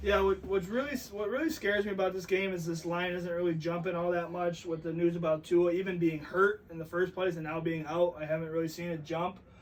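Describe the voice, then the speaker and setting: Loud and fairly quick, a man with a high voice talks with hardly any pauses and fairly even intonation over noticeable background noise. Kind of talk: casual chat.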